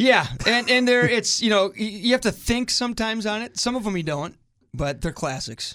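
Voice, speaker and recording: Over a silent background on a very clean recording, a man's bright, sharp voice is raised and projected, moving at a moderate pace with lively intonation. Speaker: hockey team executive.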